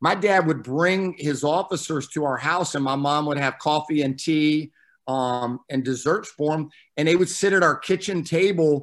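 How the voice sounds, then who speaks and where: A man with an American accent speaks at a fairly high pitch in a normal speaking voice. He keeps a moderate pace and ordinary pitch variation on a very clean recording with a silent background. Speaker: fire service training officer. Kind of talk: casual interview.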